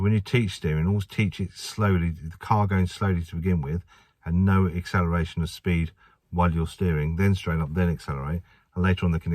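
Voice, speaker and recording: In an English accent, a man talks at a very fast pace with a very deep, low pitch and fairly even intonation, on a very clean recording with a silent background. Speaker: driving instructor trainer. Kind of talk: tutorial. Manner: casual.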